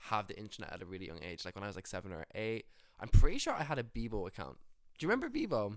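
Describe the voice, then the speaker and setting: A man's loudness swings widely as he races along at a very fast pace. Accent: Irish. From Ireland, rural Roscommon. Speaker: musician. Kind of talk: casual interview chat.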